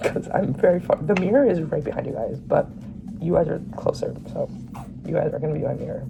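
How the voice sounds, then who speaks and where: Fairly brisk speech from a woman, music playing behind her. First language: Bengali. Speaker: vlogger. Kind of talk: casual Q&A vlog. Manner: rambling, hesitant with many fillers.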